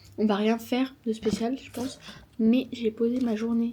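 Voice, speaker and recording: Mumbling, a woman speaks with a fairly high pitch and a somewhat breathy sound. Her tone is dark and mellow, and her intonation is monotone and flat. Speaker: vlogger. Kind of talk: vlog monologue.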